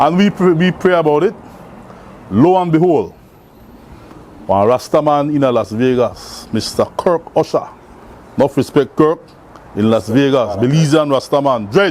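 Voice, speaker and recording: Lively in intonation, a man speaks at a fairly high pitch with very even loudness. Long, frequent pauses and noticeable background noise fill the clip. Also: moderate pace. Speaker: community charity worker. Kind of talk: interview storytelling. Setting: cafe. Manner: animated.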